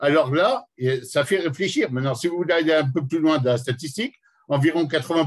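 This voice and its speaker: This man's voice is fairly high in pitch. It is also somewhat breathy. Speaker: educator. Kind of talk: lecture. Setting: conference hall with audience. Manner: fast; animated.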